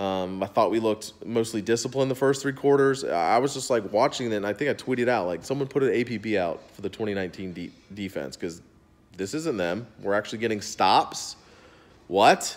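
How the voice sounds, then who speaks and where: With ordinary pitch variation, the man speaks at a moderate pace. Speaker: sports fan vlogger. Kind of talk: angry sports rant, cursing about a losing team. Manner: exasperated, fired up, ranting with profanity; casual, rambling. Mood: frustrated, sarcastic. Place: home room. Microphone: phone near.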